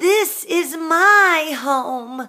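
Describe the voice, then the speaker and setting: Using a put-on character voice, a woman speaks with an extremely high pitch and lively intonation. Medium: read story.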